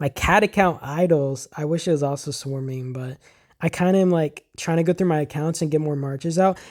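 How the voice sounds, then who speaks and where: The talking moves at a fairly quick pace on a very clean recording with a silent background. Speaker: gaming youtuber. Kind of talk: gameplay voice-over commentary. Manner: fast; casual, filler-heavy.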